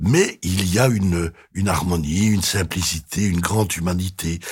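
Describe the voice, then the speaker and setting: A man speaks with a very deep, low pitch and a somewhat breathy sound. The recording is very clean, the background silent. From Belgium. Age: 70s. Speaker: retired museum director and exhibition curator. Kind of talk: interview. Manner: halting, with frequent repetitions.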